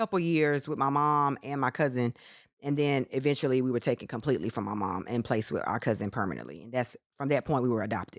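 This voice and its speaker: With a North Carolina accent, a woman speaks at a very deep, low pitch with ordinary pitch variation. The sound is dry and close with no echo, on a very clean recording with a silent background. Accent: North Carolina Southern. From North Carolina, small town. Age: 30s. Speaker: author. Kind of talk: interview.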